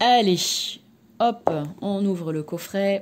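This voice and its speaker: Very slowly, a woman talks with ordinary pitch variation while noticeable background noise carries on. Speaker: tarot card reader and energy therapist. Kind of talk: product review and card presentation. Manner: hesitant, many fillers; soft-spoken.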